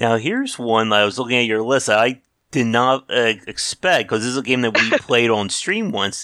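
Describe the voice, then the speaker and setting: A man speaks with a bright, sharp tone at a medium pitch and ordinary pitch variation. His pace is moderate, and the recording is very clean with a silent background. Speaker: podcast host. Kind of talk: casual interview chat.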